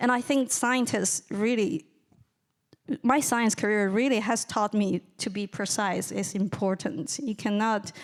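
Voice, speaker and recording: In a very clean recording with a silent background, a woman with a Chinese accent speaks at a fairly slow pace and fairly high pitch with ordinary pitch variation. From China. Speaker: writer and lecturer. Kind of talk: audience Q&A answer. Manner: halting, repetitive starts.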